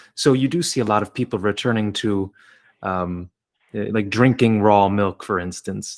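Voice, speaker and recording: With an ordinary speaking voice, a man talks fairly slowly at a fairly low pitch, with ordinary pitch variation, on a very clean recording with a silent background. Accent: American. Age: 30s. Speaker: podcast host. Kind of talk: interview conversation.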